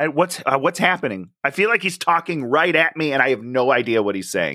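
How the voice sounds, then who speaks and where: A man's fairly high, bright, sharp voice with vocal fry and very wide pitch swings, at a moderate pace on a very clean recording with a silent background. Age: 30s. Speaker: podcast co-host, movie reviewer. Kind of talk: casual chat.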